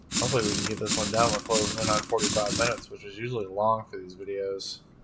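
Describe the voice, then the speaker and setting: Words come at a very fast pace while noticeable background noise plays underneath. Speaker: gaming video creator. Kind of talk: gameplay commentary. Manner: casual.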